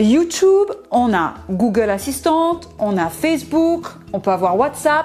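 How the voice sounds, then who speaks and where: A woman talks in an animated tone with very wide pitch swings. Background noise is noticeable. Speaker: product presenter. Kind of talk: product demo. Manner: casual, animated.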